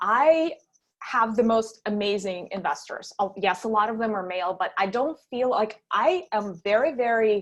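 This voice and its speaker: The voice has lively intonation and a Russian accent. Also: woman. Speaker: startup founder. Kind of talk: panel interview. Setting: online virtual event.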